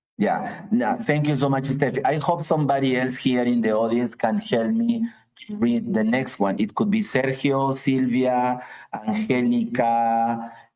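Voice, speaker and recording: Very slow delivery in a dark, mellow tone, with audible room echo. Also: man. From Peru, Piura (north). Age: 60s. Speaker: professor. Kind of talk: lecture.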